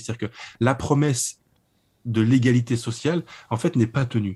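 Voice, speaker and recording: Somewhat breathy, a man speaks at medium pitch with ordinary pitch variation in a very clean recording with a silent background. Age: 30s. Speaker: publisher and writer. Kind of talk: interview about a book. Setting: internet call.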